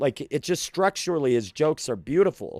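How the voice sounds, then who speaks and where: Recorded dry and close with no echo, a man with an ordinary speaking voice talks at a fairly high pitch with lively intonation. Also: very clean recording, silent background. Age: 40s. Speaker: comedian. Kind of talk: casual chat.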